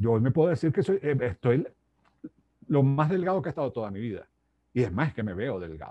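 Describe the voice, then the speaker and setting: A man with a medium pitch and a dark, mellow tone talks at a fairly quick pace, his pitch swinging very widely. He leaves long, frequent pauses. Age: 60s. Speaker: life coach and author. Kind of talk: interview.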